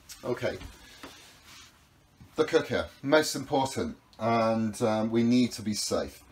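Loud background noise is present throughout. Over it, a man talks. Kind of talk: guided tour explanation. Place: boat. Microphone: camera far.

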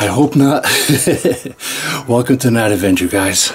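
Light noise sits in the background. A man is the one speaking. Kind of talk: casual vlog chat. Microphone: phone near.

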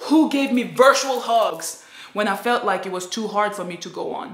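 In a quiet background with audible room echo, a woman's voice makes very wide pitch swings. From Nigeria. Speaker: vlogger. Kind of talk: personal vlog testimony. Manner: animated. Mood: emotional, grateful. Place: home room. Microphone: phone near.

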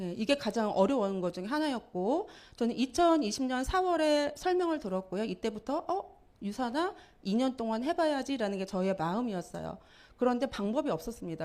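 At a moderate pace, a woman talks in a high pitch with very wide pitch swings, in a very clean recording with a silent background. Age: 50s. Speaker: network marketing speaker. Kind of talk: motivational seminar talk. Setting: lecture hall with audience.

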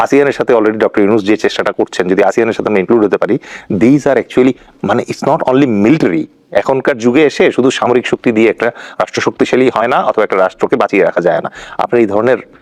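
An unremarkable speaking voice, a man's medium-pitched speech has ordinary pitch variation and a dry, close sound with no echo. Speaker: political analyst. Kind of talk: talk show interview.

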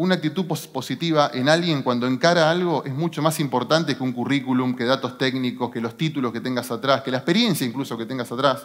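A man speaks at a very fast pace. His pitch varies in an ordinary way, and the background is quiet. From Argentina, San Nicolás (Buenos Aires province); Buenos Aires province, Argentina. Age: 40s. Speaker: business executive; speaker. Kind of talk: motivational talk. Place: stage. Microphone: headset.

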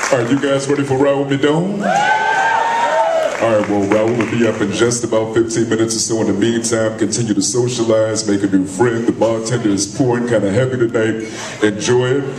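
A man talks at a fairly quick pace. There is noticeable background noise behind him. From United States. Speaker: emcee and radio host. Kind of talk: live event emcee. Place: stage.

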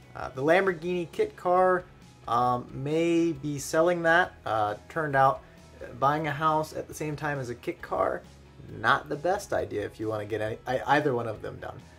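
Faint music plays in the background. A man speaks at a moderate pace with ordinary pitch variation. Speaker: car hobby vlogger. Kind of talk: casual vlog chat. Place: home room. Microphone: phone near.

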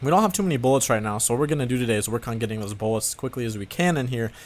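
A man rattles along at a very fast pace. His intonation is lively. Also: medium pitch for a man.

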